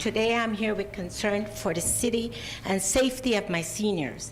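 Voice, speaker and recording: A woman's medium-pitched voice at a moderate pace, with noticeable background noise and audible room echo. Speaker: public commenter at city council. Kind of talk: public comment. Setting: city council meeting.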